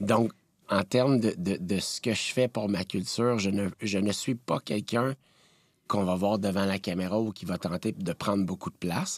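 In a plain, everyday voice, a man speaks at a fairly low pitch and moderate pace with fairly even intonation, the sound dry and close with no echo. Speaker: TV producer. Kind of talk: interview.

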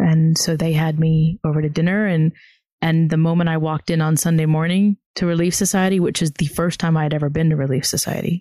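A woman with a Southern US accent talks at a very fast pace in a fairly low pitch with a dark, mellow tone, monotone and flat, at very even loudness. The recording is very clean, with a silent background and a dry, close sound with no echo. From US South. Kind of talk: interview. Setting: outdoors.

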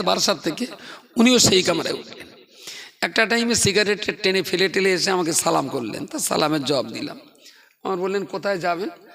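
A man with a high-pitched voice and lively intonation speaks over noticeable background noise. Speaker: Islamic preacher. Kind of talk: sermon.

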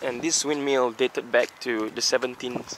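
Man with fairly even intonation, dry sound with no echo, and light background noise. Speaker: travel vlogger. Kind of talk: casual vlog chat. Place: open country. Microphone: phone near.

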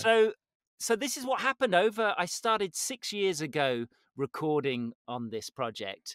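Over a quiet background with a dry sound and no echo, a man with a British accent and a high pitch talks at a moderate pace with very wide pitch swings. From Britain. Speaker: voice actor. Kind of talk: interview answer. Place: studio. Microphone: studio mic.

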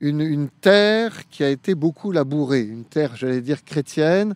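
Man at a fairly slow pace, with a fairly high pitch and a dry sound with no echo. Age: 50s. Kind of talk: radio interview. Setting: live radio broadcast at a youth event. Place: open country. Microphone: handheld.

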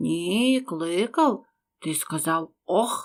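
A woman puts on a raspy character voice at a medium pitch, her pitch swinging very widely. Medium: read story. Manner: brusque, commanding.

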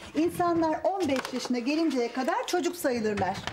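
A woman's high voice at a moderate pace, with light background noise. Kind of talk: scripted drama dialogue. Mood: warm, gently explaining. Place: home room.

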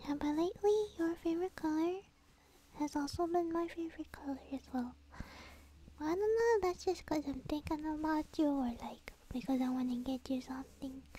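Soft-spoken, the speaker keeps a moderate pace with long, frequent pauses over light background noise. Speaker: virtual streamer. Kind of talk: casual stream chat. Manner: soft-spoken, affectionate sleepy murmur.

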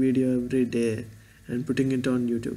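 A man's dark, mellow voice with an Indian accent and monotone, flat intonation. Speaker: vlogger and engineering student. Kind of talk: casual vlog monologue. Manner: halting, rambling. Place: home room. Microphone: webcam.

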